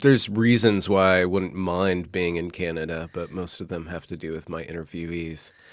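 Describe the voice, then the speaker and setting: A man's very deep, low voice, relaxed in tone, at a moderate pace with fairly even intonation, on a very clean recording with a silent background. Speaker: podcaster, interviewer. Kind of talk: casual interview chat. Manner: relaxed, chilled out.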